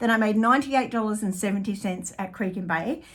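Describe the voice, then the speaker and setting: A woman with an Australian accent speaks at medium pitch in a very clean recording with a silent background. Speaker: artist and small business owner. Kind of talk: vlog monthly business update. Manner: halting, many fillers.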